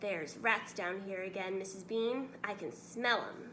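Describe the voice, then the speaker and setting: A woman puts on a character voice at a medium pitch. She keeps a moderate pace over clear background noise. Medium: read story.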